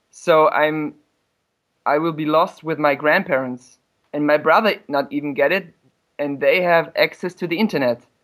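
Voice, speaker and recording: A man speaks with a German accent. His pitch is fairly high. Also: ordinary pitch variation, moderate pace. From Germany. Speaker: caller. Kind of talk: casual chat.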